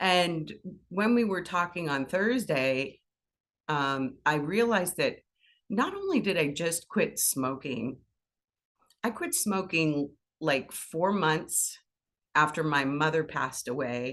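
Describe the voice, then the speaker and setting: A woman with a fairly low pitch speaks very slowly, leaving long, frequent pauses. Her intonation is lively. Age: 60s. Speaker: spiritual speaker. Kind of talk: personal testimony. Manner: animated.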